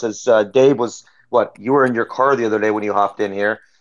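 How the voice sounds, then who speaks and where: A man speaks fairly quickly at a medium pitch against a quiet background. He has an unremarkable speaking voice. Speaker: listener participant. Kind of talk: casual discussion.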